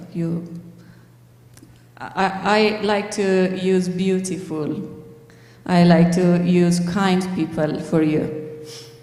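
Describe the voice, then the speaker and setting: Amid noticeable background noise and audible room echo, a woman with a fairly low pitch speaks at a very slow pace, leaving long, frequent pauses. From Afghanistan. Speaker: pharmacist and refugee speaker. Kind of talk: church talk with Q&A. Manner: halting, many hesitations.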